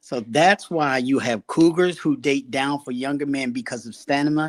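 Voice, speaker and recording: In a very clean recording with a silent background and a dry, close sound with no echo, a man with an ordinary speaking voice and fairly high pitch speaks at a moderate pace. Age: 60s. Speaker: podcast panelist. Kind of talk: casual panel debate.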